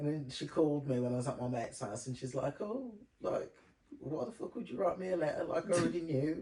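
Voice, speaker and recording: A man's fairly high, very fast voice with lively intonation amid noticeable background noise. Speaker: podcast host. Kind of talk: casual chat. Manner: loud; animated.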